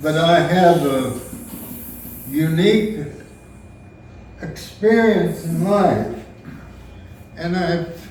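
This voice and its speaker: A man talks at a very slow pace with ordinary pitch variation, and the room echo is audible. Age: 90s. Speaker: retired minister, family elder. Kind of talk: memorial luncheon speech. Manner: halting.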